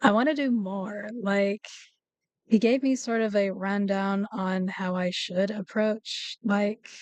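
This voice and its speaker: A very slow delivery with fairly even intonation and a dry, close sound with no echo. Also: woman, medium pitch for a woman. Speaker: vtuber streamer. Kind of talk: casual chat.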